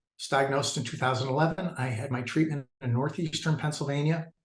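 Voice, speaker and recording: A somewhat breathy man's voice at a medium pitch, fairly quick pace and fairly even intonation. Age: 60s. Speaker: cancer survivor. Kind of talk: personal testimony. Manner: halting, many fillers.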